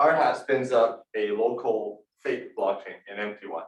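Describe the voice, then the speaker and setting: A man at a fairly slow pace. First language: not English. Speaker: university course instructor. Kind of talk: lecture; casual class discussion. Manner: halting, many fillers and repetitions.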